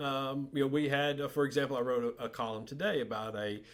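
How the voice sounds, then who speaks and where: Speaking with a Southern US accent, a man uses a medium pitch. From US South, north Alabama. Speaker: journalist. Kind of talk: podcast interview. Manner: halting, many fillers and repetitions.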